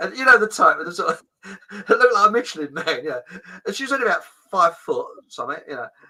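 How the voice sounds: A man talks at a fast pace with lively intonation. His voice is high-pitched, with a bright, sharp tone.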